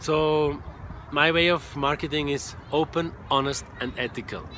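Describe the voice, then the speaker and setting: A man talks with a Swiss German accent. His voice sits at a fairly high pitch. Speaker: online marketing coach, former truck driver. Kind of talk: casual direct-to-camera monologue.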